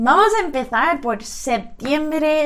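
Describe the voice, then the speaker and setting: A woman speaks very slowly with an English accent. Audible room echo and noticeable background noise surround her voice. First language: English (speaking Spanish). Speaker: language vlogger. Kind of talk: casual vlog explanation.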